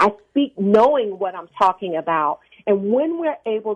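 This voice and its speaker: A woman's medium-pitched voice with an American accent, very wide pitch swings and a fairly slow pace. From US South. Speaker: executive coach and speaker trainer. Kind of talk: radio interview. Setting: phone call. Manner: confident, authoritative.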